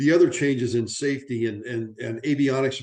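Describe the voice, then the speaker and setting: Moving at a moderate pace, a man talks with a medium pitch. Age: 60s. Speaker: aviation safety educator. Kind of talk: conference presentation. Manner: animated; halting with frequent repetitions.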